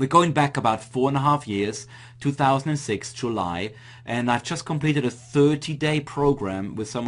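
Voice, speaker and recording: In an Austrian accent, a man speaks at a moderate pace with ordinary pitch variation. The background is quiet. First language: German. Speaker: online marketing coach. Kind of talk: webinar presentation.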